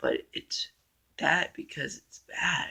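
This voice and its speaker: A man is speaking. His voice is quiet. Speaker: movie reviewer on own channel. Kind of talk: casual vlog monologue. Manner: slow and quiet; hesitant, many fillers.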